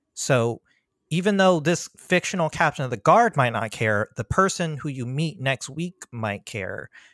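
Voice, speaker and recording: At a fairly slow pace, a man with an American accent swings his pitch very widely, heard in a very clean recording with a silent background and a dry, close sound with no echo. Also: fairly high pitch for a man. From US Mid-Atlantic (Prince George's County, Maryland). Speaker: freelance tabletop game writer. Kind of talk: casual interview.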